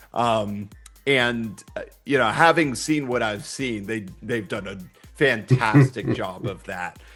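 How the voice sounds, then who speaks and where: A man speaks with music playing in the background. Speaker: voice actor. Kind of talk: interview answer.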